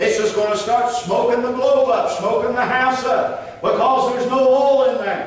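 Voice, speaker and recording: With strong room echo, a man speaks at an extremely high pitch in a warm tone, with ordinary pitch variation and hardly any pauses. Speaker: preacher. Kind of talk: sermon. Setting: church. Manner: earnest, unhurried preaching cadence with pauses and repeated phrases; warm, exhorting, plainspoken. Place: church. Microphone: camera far.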